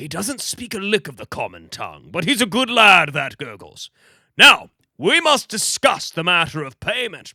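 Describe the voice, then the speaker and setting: A man does a put-on character voice with a high pitch, very wide pitch swings, and big swings in loudness at a moderate pace. The recording is very clean with a silent background, and the sound is dry and close with no echo. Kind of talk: old-fashioned gallant speech. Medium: read story.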